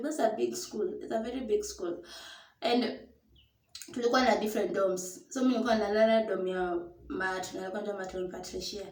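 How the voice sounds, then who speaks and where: Somewhat breathy and fairly high-pitched, a woman speaks at a moderate pace with lively intonation, and audible room echo surrounds her voice. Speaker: storyteller vlogger. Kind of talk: personal storytelling. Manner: casual, code-switching English and Swahili.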